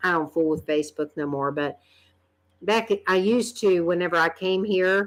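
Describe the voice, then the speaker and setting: In a very clean recording with a silent background, a woman with a North Carolina accent speaks at medium pitch and moderate pace with ordinary pitch variation. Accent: Southern US (North Carolina). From US South, North Carolina. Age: 50s. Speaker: vlogger. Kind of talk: casual chat. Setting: live stream.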